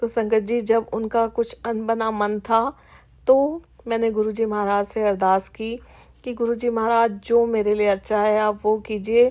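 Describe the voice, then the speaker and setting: A woman's fairly high, monotone voice with flat intonation on a very clean recording with a silent background. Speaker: satsang speaker. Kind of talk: devotional testimony. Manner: halting, with fillers.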